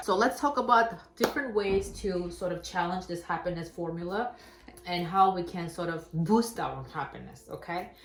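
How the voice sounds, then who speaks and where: A woman talks at a moderate pace with an Armenian accent. Her pitch varies in an ordinary way, and there is audible room echo. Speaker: talk show host. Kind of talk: casual chat.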